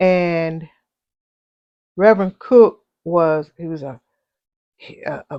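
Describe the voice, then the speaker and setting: Against a quiet background, a woman with a fairly low pitch talks at a very slow pace with ordinary pitch variation. The sound is dry and close, with no echo. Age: 70s. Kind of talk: interview answer, personal recollection.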